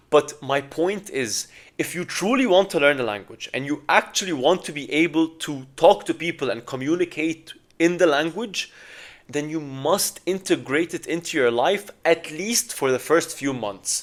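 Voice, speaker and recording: This voice, in an Arabic accent, moves at a moderate pace with lively intonation. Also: man, fairly high pitch for a man. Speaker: language learning vlogger. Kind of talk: casual advice talk to camera.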